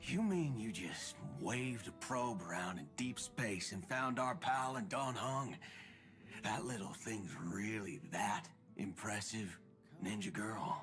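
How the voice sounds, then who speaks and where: A put-on character voice swings very widely in pitch at a fairly slow pace. Background noise is clear. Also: man, medium pitch for a man. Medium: video game. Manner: gruff, drawling, tough.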